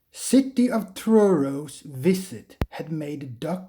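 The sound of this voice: Lively intonation runs through the delivery. It is an unforced reading voice.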